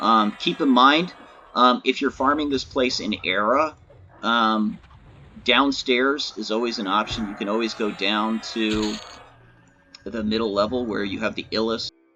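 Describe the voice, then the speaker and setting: With ordinary pitch variation, a man at medium pitch speaks at a fairly slow pace, taking long, frequent pauses. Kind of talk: gaming tutorial voice-over. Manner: hesitant, many filler words.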